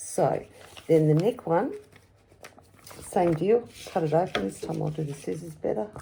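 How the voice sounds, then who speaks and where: A woman with a fairly low pitch speaks at a moderate pace, her pitch swinging very widely. Long, frequent pauses break up her speech. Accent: Australian. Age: 60s. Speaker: customer giving product testimonial. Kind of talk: product demonstration. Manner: casual, hesitant.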